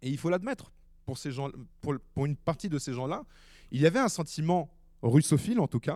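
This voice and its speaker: Lively intonation and a dark, mellow tone move at a fairly quick pace, the sound dry and close with no echo on a very clean recording with a silent background. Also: man. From Ukraine. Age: 20s. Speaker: war reporter. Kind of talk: public talk.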